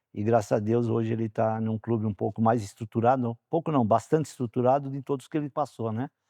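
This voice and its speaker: Dark, mellow tone from a man at medium pitch, very fast with hardly any pauses, fairly even intonation, and a dry, close sound with no echo. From Brazil, São Paulo. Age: 60s. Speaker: former footballer and player agent. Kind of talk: interview.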